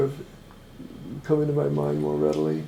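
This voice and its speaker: The speech comes at a moderate pace. Audible room echo surrounds the voice. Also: man. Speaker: person living with Parkinson's. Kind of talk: documentary interview. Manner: stammers a little; halting, many fillers.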